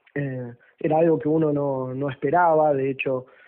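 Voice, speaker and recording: The speaker is a man. His pitch is fairly high. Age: 30s. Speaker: political activist. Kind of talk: radio interview. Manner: hesitant, many fillers.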